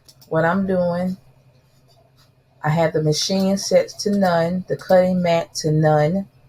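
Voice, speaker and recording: With music playing in the background, a woman with a South Carolina accent speaks very slowly in a fairly low voice. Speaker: crafting YouTuber. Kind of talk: tutorial. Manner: casual, chatty.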